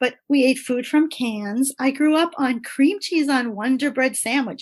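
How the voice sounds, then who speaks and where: A high-pitched woman speaks at a moderate pace. Her pitch varies an ordinary amount. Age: 60s. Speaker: writer and producer, guest on lifestyle podcast. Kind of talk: casual interview chat. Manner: animated.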